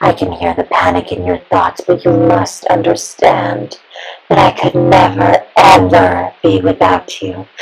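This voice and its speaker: A put-on character voice comes through raspy and low-pitched. The pace is fairly slow. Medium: audio drama. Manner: sweet, soft-spoken, menacing.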